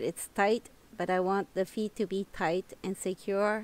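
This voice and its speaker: Recorded very cleanly with a silent background, the speaker has a non-native accent, fairly even intonation and a fairly slow pace. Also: woman. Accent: non-native English accent, self-noted. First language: French. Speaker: knitting tutorial creator. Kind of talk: tutorial. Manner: halting, searching for words.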